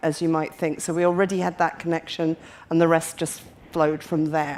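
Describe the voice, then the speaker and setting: A woman with a Scottish accent speaks at a fairly quick pace, her fairly low voice held in flat, monotone intonation. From Scotland. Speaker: patient advocate. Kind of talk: panel discussion. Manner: halting.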